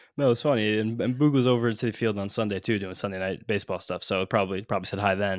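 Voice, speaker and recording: A man rattles along at a very fast pace, his fairly low pitch held in fairly even intonation. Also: very clean recording, silent background. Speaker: sports podcast co-host. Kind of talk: casual chat. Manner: fast talker.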